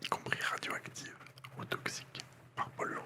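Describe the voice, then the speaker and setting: A man whispering in a relaxed tone over noticeable background noise. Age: 20s. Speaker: ASMR content creator. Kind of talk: ASMR whispered reading of encyclopedia articles for sleep. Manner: whispered, soft-spoken, relaxed.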